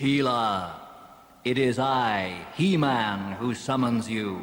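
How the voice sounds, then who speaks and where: Using a put-on character voice, a man speaks at a very slow pace with a medium pitch and ordinary pitch variation, with a clear echo. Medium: read story.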